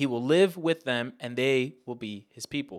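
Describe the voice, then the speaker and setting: A man's fairly high voice with ordinary pitch variation at a moderate pace, in a very clean recording with a silent background. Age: 20s. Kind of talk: teaching.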